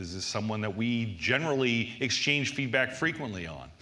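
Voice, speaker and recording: Over noticeable background noise and audible room echo, a man with an American accent speaks at medium pitch and a moderate pace with ordinary pitch variation. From US Northeast. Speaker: conference speaker on application security. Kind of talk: conference talk.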